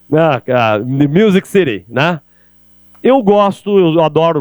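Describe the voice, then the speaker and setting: A man with ordinary pitch variation, in a dry, close sound with no echo. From Brazil, interior (countryside). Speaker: sales speaker. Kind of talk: keynote talk. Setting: stage with audience. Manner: animated.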